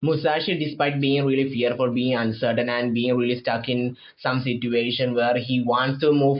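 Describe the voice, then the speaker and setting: A man with a non-native accent speaks at a medium pitch. His intonation is monotone and flat. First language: not English. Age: 20s. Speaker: manga commentator. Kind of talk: casual monologue review. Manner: halting, many false starts.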